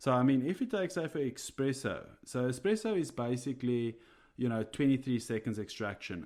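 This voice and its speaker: A man with a South African accent at a moderate pace, with ordinary pitch variation. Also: very clean recording, silent background. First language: Afrikaans. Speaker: coffee roaster and podcast co-host. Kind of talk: casual podcast chat. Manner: hesitant, many fillers.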